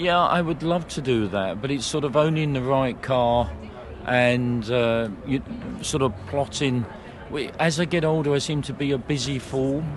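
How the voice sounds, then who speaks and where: The pace is moderate and the pitch variation ordinary. Room echo is audible, and there is noticeable background noise. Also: man, medium pitch for a man. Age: 70s. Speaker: racing driver. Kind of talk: interview. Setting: event stand.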